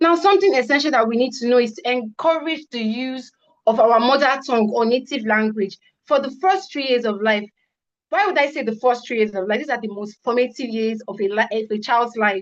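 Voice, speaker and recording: This woman talks at a fairly quick pace in a high pitch, her intonation lively. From Nigeria (Igbo). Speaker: student conference presenter. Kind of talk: conference presentation. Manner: fast.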